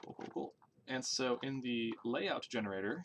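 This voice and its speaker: Noticeable background noise sits behind the speaker. A man talks at a fairly slow pace. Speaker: game developer streamer. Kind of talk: live coding stream. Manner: casual, thinking aloud with fillers. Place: home room.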